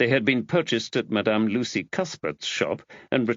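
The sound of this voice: The unforced reading voice has lively intonation.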